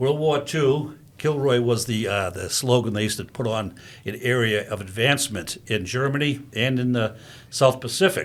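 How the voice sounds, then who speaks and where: A plain, everyday voice from a man, medium in pitch, with ordinary pitch variation and a moderate pace. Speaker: veterans services officer, veteran. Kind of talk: telling a joke.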